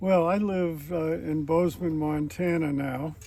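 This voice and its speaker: The voice carries fairly even intonation, with audible room echo around it. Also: man. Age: 80s+. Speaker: charity ride participant. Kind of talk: interview.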